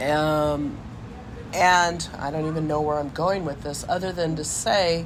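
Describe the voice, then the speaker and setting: A woman speaks fairly slowly in a very deep, low pitch with monotone, flat intonation. There is noticeable background noise. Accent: American. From Lafayette, California. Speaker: car enthusiast and rebuilder. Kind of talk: oral history interview answer.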